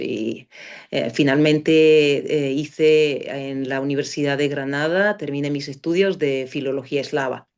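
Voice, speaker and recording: A woman's very deep, low-pitched voice at a fairly slow pace. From Bulgaria (Sofia). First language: Bulgarian (speaking Spanish). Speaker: philology professor. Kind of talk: interview. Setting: podcast. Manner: halting, many fillers.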